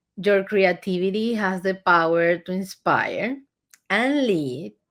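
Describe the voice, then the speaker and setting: On a very clean recording with a silent background, a woman of medium pitch with a Spanish accent speaks at a very slow pace with lively intonation. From Venezuela. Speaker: agency founder and CEO. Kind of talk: interview.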